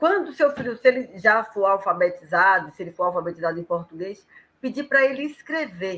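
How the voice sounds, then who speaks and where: Her high pitch swinging very widely, a woman speaks at a fairly quick pace in a bright, sharp tone. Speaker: professional storyteller. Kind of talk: casual live chat.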